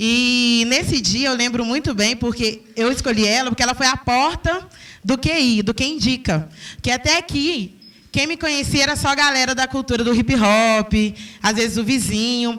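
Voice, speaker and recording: A bright, sharp, animated tone holds very even loudness in a very clean recording with a silent background. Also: woman, high pitch for a woman, ordinary pitch variation, moderate pace. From Belo Horizonte, Brazil. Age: 20s. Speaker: hair braider and entrepreneur. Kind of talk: talk to an audience.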